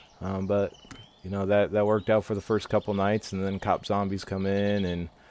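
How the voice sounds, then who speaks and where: A man with a very deep, low pitch talks at a moderate pace against noticeable background noise. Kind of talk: game voice-over. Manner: hesitant.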